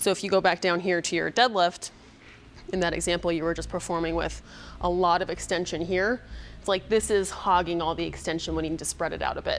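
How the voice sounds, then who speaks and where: Over light background noise, a woman talks at a fairly quick pace in a fairly low pitch with vocal fry. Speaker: fitness coach. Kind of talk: tutorial. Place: gym. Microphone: lapel.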